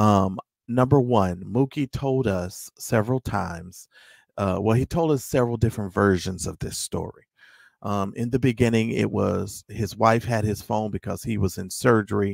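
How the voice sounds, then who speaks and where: This man has a normal speaking voice, recorded with a dry, close sound and no echo. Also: fairly low pitch for a man, ordinary pitch variation, moderate pace. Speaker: guest, member of online group. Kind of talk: casual discussion, explaining side. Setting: remote call into livestream.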